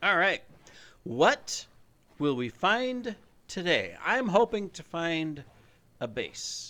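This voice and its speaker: A man with a high pitch and a bright, sharp tone uses a raised, projected voice with very wide pitch swings and big swings in loudness. He speaks at a very slow pace with long, frequent pauses. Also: very clean recording, silent background. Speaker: gaming YouTuber. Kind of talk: gameplay commentary. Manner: casual, unedited.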